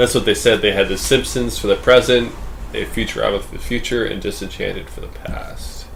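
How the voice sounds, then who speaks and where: A man at a fairly quick pace, big swings in loudness, and audible room echo. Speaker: podcast host. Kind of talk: casual chat.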